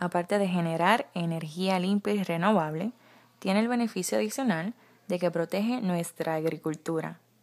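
A woman with a fairly low pitch and an ordinary speaking voice talks at a moderate pace with lively intonation and very even loudness. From Puerto Rico. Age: 20s. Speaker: beauty pageant contestant. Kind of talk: scripted presentation.

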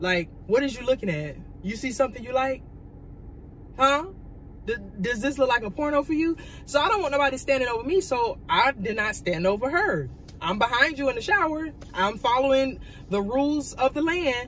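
The voice moves at a fairly quick pace with very wide pitch swings, in a dry sound with no echo and light background noise. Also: woman, high pitch for a woman. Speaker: vlogger. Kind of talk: casual storytime vlog chat. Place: car. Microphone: phone near.

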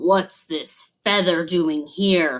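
A put-on character voice. It growls. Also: woman, fairly low pitch for a woman. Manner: growling.

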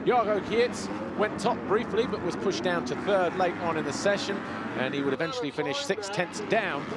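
With noticeable background noise in the clip, a man's high-pitched voice carries lively intonation. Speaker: race commentator. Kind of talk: race report voiceover recapping qualifying.

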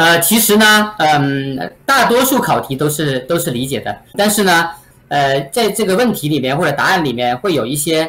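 A man speaks with a fairly high voice. His pitch swings very widely. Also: moderate pace. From mainland China. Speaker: real estate agent; interviewee. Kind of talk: interview. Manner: halting with many fillers. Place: home room.

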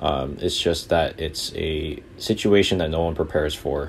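Over light background noise, a man with a very deep, low pitch speaks with fairly even intonation. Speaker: student pilot vlogger. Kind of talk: casual vlog chat. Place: plane. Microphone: headset.

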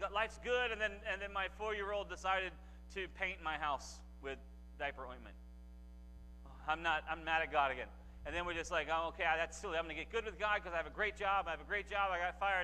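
A man talks at a very fast pace. Light background noise is present. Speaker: guest preacher. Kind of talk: sermon. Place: church. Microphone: lapel.

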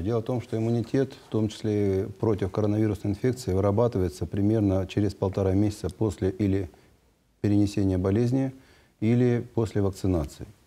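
A man speaks at a fairly quick pace with fairly even intonation, his voice fairly low and dark and mellow in tone. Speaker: public health agency head. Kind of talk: live TV call-in Q&A. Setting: TV studio. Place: studio.

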